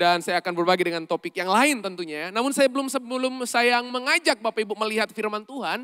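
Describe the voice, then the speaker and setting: A man's high, raised and projected voice at a very fast pace, with lively intonation, hardly any pauses, and a dry, close sound with no echo. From Indonesia, not Surabaya. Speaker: pastor and leadership coach. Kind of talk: sermon. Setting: church service with congregation. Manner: interactive, engaging audience.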